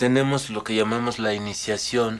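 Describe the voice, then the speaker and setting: A man with a West African accent and a fairly low pitch, over noticeable background noise. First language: Mandinka (speaking Spanish). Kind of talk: interview.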